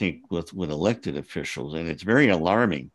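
A man talks with lively intonation at a moderate pace against a quiet background. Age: 60s. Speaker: novelist. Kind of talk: interview.

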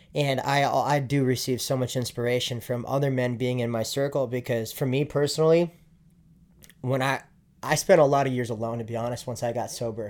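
A man with a normal speaking voice talks fairly quickly, keeping a medium pitch and fairly even intonation. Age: 20s. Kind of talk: casual chat.

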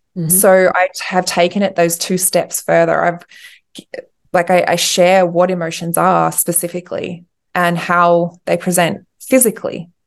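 With an Australian accent, a woman talks at a moderate pace in a fairly low, monotone, flat voice. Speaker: pregnancy loss coach. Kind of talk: interview. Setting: video call.

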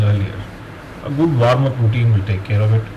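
Noticeable background noise and audible room echo surround a man whose medium pitch moves with ordinary variation. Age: 30s. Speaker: fitness podcaster. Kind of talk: tutorial.

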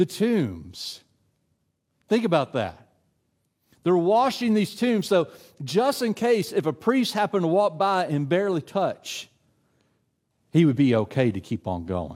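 With a Tennessee accent, a high-pitched man speaks at a moderate pace with lively intonation on a very clean recording with a silent background. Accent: Tennessee Southern. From West Tennessee, US South. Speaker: adult minister. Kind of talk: sermon. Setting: church. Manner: casual with many filler words.

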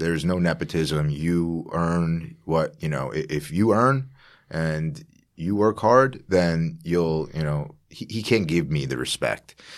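Over a silent background in a very clean recording, a man with an American accent speaks at a fairly slow pace in a very deep, low voice. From US Northeast, Long Island, New York. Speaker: businessman and investor. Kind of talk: casual chat. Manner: halting, many fillers.

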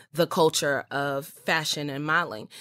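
Here a woman speaks with an American accent. The sound is dry and close with no echo, in a very clean recording with a silent background. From US, Baltimore, Maryland. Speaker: model and actress. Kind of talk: interview conversation.

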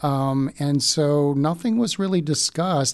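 Lively intonation marks an unremarkable speaking voice with an American accent, heard over a quiet background. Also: man. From Baltimore, US. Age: 60s. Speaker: parishioner. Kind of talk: interview about faith journey.

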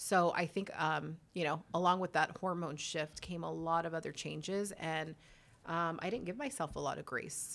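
A woman with an American accent, fairly low in pitch, with vocal fry, ordinary pitch variation and a moderate pace. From Whittier, California (Southern California). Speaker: yoga studio owner. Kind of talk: casual interview chat.

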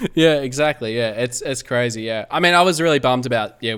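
Talking at a fairly quick pace, a man with an Australian accent shows ordinary pitch variation. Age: 30s. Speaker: podcaster. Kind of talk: casual chat. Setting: video call.

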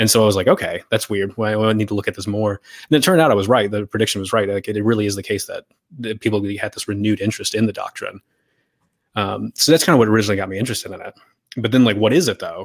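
An American-accented man rushes along at a very fast pace, with ordinary pitch variation and big swings in loudness. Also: fairly low pitch for a man, dry, close sound with no echo. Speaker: philosophical theologian. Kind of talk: casual interview. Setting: video call.

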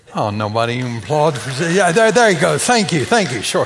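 With audible room echo and noticeable background noise, a man talks at a fairly quick pace in a fairly high voice that has very wide pitch swings. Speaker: preacher. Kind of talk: sermon.

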